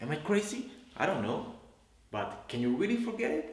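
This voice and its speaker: A man's voice with a Spanish accent and very wide pitch swings, over noticeable background noise. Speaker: English teacher. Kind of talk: casual talk to camera.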